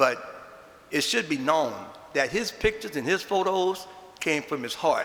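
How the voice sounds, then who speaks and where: Noticeable background noise surrounds a man speaking in a New Orleans accent. He moves at a fairly quick pace with lively intonation. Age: 70s. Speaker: Mardi Gras Indian chief. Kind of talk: eulogy speech. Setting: chapel with audience.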